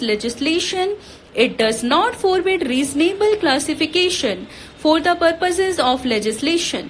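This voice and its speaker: Amid noticeable background noise, a woman speaks at an extremely high pitch with very wide pitch swings. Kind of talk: shorthand dictation read. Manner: steady, measured pace.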